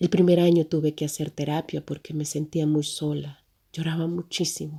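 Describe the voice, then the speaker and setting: Very deep and low in pitch, a woman's somewhat breathy voice with a dark, mellow tone and monotone, flat intonation moves at a moderate pace in a very clean recording with a silent background. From El Salvador. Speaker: humanitarian agency worker, migrant. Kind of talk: personal testimony.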